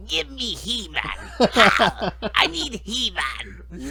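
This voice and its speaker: A raspy, gravelly put-on character voice talks at a very slow pace. Clear background noise sits behind it. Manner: dark, villainous.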